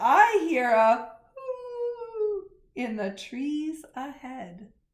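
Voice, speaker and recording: A put-on character voice is raised and projected, with very wide pitch swings. The pace is very slow. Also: woman, high pitch for a woman. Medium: read story.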